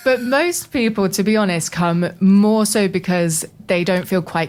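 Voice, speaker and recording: A woman with a British accent speaks at a fairly slow pace with ordinary pitch variation. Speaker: voice coach. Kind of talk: interview. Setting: radio studio.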